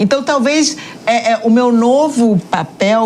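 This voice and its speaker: A woman with a northeastern Brazilian accent speaks in a fairly high pitch over noticeable background noise. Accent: Northeastern Brazilian, regained. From Northeast Brazil, Salvador. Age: 50s. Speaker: journalist and entrepreneur. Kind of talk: podcast interview. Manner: hesitant, many fillers.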